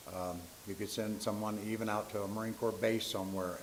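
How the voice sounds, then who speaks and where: Room echo and noticeable background noise can be heard as a man speaks at a fairly quick pace. His fairly low voice stays monotone and flat. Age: 70s. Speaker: public commenter, Marine Corps veteran. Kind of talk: public comment at school board meeting.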